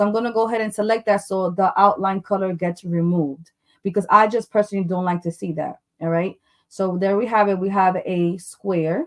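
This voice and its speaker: At a fairly quick pace, a woman speaks with a medium pitch and fairly even intonation. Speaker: cake topper designer teaching a class. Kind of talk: live tutorial. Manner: fast.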